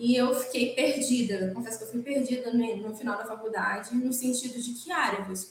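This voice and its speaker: With a high pitch, a woman talks at a moderate pace. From Brazil, Espírito Santo interior. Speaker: criminal lawyer. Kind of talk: interview.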